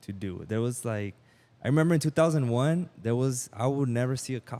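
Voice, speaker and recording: A dark, mellow tone with a Spanish accent, on a very clean recording with a silent background. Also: man. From Mexicali, Mexico / Calexico border area. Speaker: entrepreneur and musician. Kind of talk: podcast interview.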